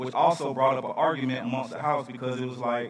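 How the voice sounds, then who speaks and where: Over noticeable background noise, a man with a Southern US accent talks at a very fast pace. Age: 30s. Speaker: speaker at charity event. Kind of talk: storytelling speech.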